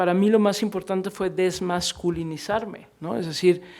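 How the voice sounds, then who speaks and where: A woman with a fairly low pitch talks at a moderate pace with ordinary pitch variation. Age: middle-aged. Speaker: book presenter and radio interviewer. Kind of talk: panel discussion at book fair presentation. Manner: halting, repeats words.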